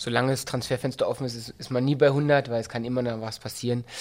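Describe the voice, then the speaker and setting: Over a silent background in a very clean recording, a man speaks at medium pitch with monotone, flat intonation. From Berlin-Brandenburg. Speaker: football coach. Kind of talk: interview. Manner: hesitant with many fillers.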